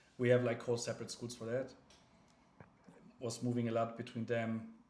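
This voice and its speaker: This man speaks with a German accent at a medium pitch. Audible echo fills the room. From Germany. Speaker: crypto livestreamer. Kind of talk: casual livestream chat. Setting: livestream. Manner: halting, many fillers and restarts.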